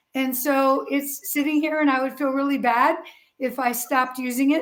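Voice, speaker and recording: A woman speaks at a moderate pace in a high voice, with fairly even intonation. The room echo is audible. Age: 60s. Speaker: fitness client answering viewer questions. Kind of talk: live stream Q&A. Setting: home gym.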